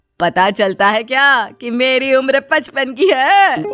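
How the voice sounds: A woman's put-on character voice, high-pitched, fairly bright and lively in intonation, slow in pace, with faint music in the background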